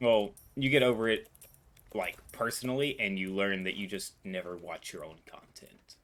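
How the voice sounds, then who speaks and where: A man speaks at a fairly low pitch, his loudness swinging widely. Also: ordinary pitch variation, moderate pace. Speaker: gaming streamer. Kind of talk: casual chat.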